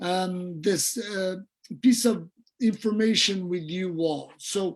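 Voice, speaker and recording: This man speaks with a Portuguese accent. His pitch is high. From Brazil. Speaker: dentistry professor. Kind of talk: lecture.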